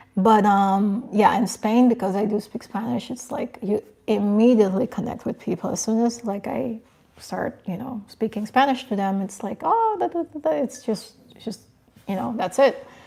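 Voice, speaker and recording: A woman's fairly high-pitched voice with big swings in loudness, amid noticeable background noise. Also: ordinary pitch variation, moderate pace. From Curacao. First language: Papiamentu. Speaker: lifestyle and fashion YouTuber. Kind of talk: livestream chat reading comments. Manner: casual, hesitant with fillers.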